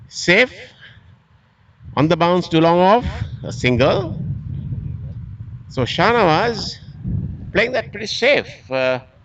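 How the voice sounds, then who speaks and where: With very wide pitch swings, a man with a high pitch speaks at a very slow pace. Long, frequent pauses break up his speech. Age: 70s. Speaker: cricket commentator. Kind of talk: live commentary.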